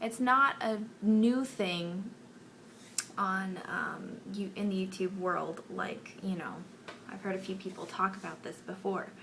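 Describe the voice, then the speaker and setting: Soft-spoken and medium in pitch, a woman talks at a fairly slow pace with fairly even intonation, with audible room echo and noticeable background noise. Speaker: beauty vlogger. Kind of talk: casual chat. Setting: bedroom.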